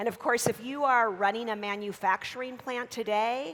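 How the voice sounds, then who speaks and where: With an American accent, a woman has an unremarkable speaking voice, fairly high in pitch, with ordinary pitch variation and a moderate pace. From United States. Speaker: business school professor. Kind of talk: keynote lecture.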